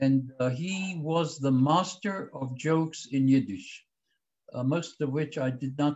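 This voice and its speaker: The man's pitch is fairly high and moves an ordinary amount. His voice is somewhat breathy. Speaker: historian and former government spokesman. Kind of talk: lecture.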